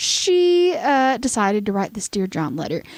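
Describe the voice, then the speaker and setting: A woman speaks in a Southern US accent. Her pitch swings very widely. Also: dry, close sound with no echo. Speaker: podcast host. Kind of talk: casual storytelling chat. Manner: hesitant, many fillers.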